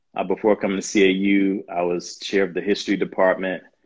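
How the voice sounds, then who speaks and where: A man speaks with an American accent at a very deep, low pitch. The background is quiet. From US South, Jackson, Mississippi. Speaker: professor and university administrator. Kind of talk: interview on a live video stream. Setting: video call, online livestream.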